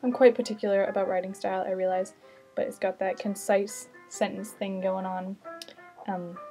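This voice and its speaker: With music in the background, a woman at a medium pitch talks at a fairly quick pace. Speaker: book vlogger. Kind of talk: casual chat. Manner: fast.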